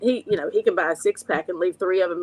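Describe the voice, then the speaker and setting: A woman talks at a fairly quick pace with an Appalachian accent. The sound is dry and close, with no echo. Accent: Appalachian Southern. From West Virginia, Logan (Appalachia). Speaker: recovery coach and addiction counselor. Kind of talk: personal testimony in an interview.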